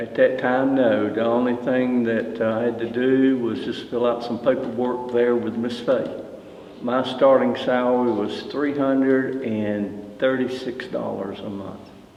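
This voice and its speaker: In a Southern US accent, a man talks at a medium pitch and a fairly slow pace with fairly even intonation. The room echo is audible and background noise is noticeable. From US South, Greensboro, North Carolina. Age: 70s. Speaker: retired fire battalion chief. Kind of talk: oral history interview. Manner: halting, with fillers.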